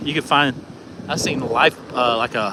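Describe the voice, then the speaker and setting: With an American accent, a man talks over noticeable background noise. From Texas, Dallas area. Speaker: vlogger. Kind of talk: live stream casual talk. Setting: outdoors on a beach. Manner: casual, rambling.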